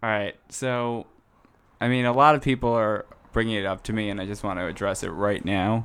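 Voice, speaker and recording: Speaking at a fairly quick pace with an American accent, a man uses an ordinary speaking voice, pitched fairly low with ordinary pitch variation. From New Jersey, US. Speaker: podcast guest. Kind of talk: casual chat.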